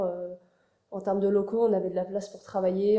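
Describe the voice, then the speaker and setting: Talking at a very fast pace, a woman with a medium-pitched voice and a dark, mellow tone keeps her intonation flat and monotone. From France, Paris. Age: 20s. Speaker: architecture student. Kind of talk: interview. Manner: hesitant, many fillers.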